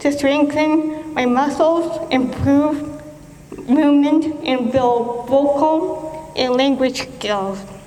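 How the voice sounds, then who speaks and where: A woman's high-pitched voice with ordinary pitch variation, very slow pace, audible room echo and noticeable background noise. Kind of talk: prepared speech. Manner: halting, with repetitions and self-corrections; speech shaped by years of speech therapy.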